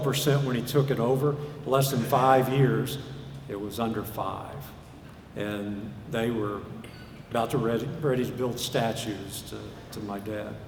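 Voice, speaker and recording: A man speaks at a moderate pace and with fairly even intonation, with audible room echo and noticeable background noise around him. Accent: Southern US. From US South, Arkansas. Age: 60s. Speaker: preacher. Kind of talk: sermon.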